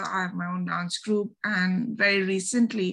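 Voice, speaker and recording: A woman speaks with a Bengali accent at a medium pitch. Her pace is fairly slow. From India, Delhi. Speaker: podcaster and researcher. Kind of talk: interview.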